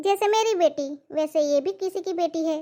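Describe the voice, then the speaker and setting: This is a put-on character voice with a squeaky sound. It moves at a moderate pace. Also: woman, extremely high pitch for a woman. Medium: cartoon. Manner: scolding.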